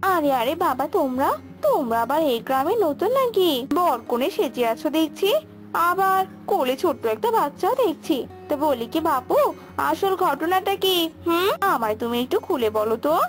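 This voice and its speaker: A woman puts on a cartoonish character voice at a high pitch, with very wide pitch swings, at a moderate pace. Clear music plays in the background. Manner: nosy, calculating.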